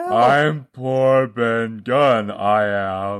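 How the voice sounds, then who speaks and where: The speaker uses a put-on character voice with a low pitch. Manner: creaky, halting.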